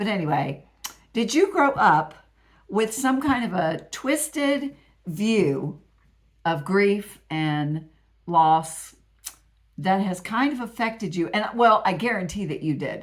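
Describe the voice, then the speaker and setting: A woman with an American accent at a medium pitch, very wide pitch swings, a very slow pace and long, frequent pauses. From Appalachia, US. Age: 60s. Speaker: grief vlogger, widow. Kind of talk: casual vlog monologue. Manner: halting, many restarts and fillers.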